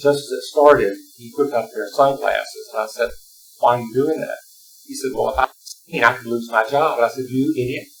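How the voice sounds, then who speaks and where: A man talks in a strong Southern US accent. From Alabama, US South. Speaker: retired teacher, panelist. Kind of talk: panel discussion.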